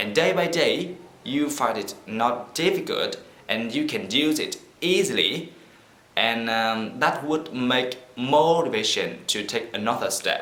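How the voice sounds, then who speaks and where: A man speaks fairly slowly with a fairly high pitch and lively intonation. Audible room echo surrounds his voice. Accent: Vietnamese. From Vietnam. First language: Vietnamese. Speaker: vlogger. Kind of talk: casual vlog talk to camera. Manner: halting.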